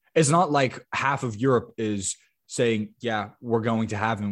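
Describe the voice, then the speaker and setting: A man's normal speaking voice, medium in pitch with lively intonation, at a moderate pace in a very clean recording with a silent background. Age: 20s. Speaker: football podcast host. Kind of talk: casual chat.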